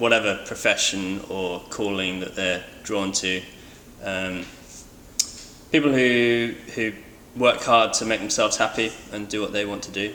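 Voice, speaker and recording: The speaker has a West Country accent. Long pauses come often. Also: man, fairly low pitch for a man, fairly even intonation, fairly slow pace. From England, Bristol. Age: 20s. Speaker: boat builder. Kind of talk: interview answers. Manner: hesitant, many fillers.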